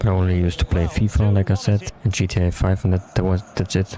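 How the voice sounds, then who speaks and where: Over music in the background, a man with a very deep, low pitch and a German accent speaks at a very fast pace. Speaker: gaming YouTuber. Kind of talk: gameplay commentary. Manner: halting.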